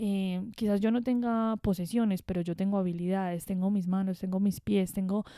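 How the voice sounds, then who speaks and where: A woman with a strong Medellín accent, medium in pitch, dark and mellow in tone, in a very clean recording against a silent background. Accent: strong Medellín (paisa). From Colombia, Medellín. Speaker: podcast host. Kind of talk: reflective monologue. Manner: conversational.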